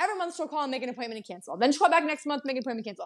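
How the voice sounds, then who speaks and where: Her intonation is lively. The woman has an American accent. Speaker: dental office podcaster. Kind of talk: angry rant about patients wasting her time, vented in a quick, irritated monologue. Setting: solo home recording, microphone trouble. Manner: exasperated, pointed and repetitive, stressed and worn out; emphatic, with repeated phrases like "Don't waste my time".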